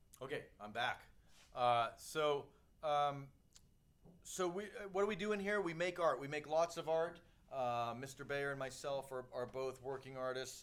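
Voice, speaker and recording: Moderate pace and ordinary pitch variation from a man with a fairly high pitch. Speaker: art teacher. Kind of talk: recorded talk to parents. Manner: hesitant, many fillers.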